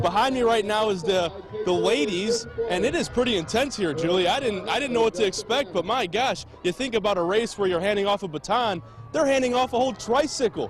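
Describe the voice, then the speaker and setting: Music plays behind a man who talks at a fairly quick pace, his pitch high with ordinary variation. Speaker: TV news reporter. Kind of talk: TV news report.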